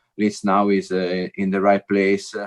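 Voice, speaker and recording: A man with an Italian accent speaks at a fairly low pitch and a moderate pace, the sound dry and close with no echo. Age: 30s. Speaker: former footballer. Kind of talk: podcast interview. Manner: halting, many fillers and repeats.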